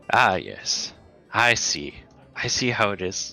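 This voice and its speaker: The put-on character voice moves at a fairly slow pace. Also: man, fairly low pitch for a man. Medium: actual play. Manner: theatrical, indignant.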